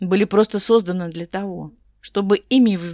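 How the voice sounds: The voice is a natural reading voice. It reads the text through.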